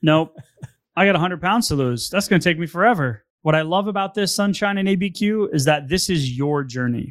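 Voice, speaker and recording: A man with a high pitch speaks at a fairly quick pace with lively intonation. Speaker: podcast host. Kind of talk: casual chat. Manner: fast.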